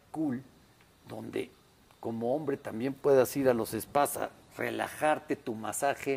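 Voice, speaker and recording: At a fairly slow pace, a man with a medium-pitched voice talks with long, frequent pauses. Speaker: restaurateur and food critic. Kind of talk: interview. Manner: hesitant with many fillers.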